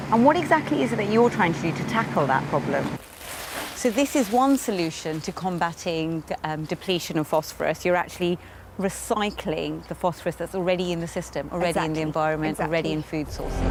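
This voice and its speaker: Over noticeable background noise, a woman speaks very fast at a fairly low pitch with ordinary pitch variation. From London, England. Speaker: TV presenter and reporter. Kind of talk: science and travel reporting.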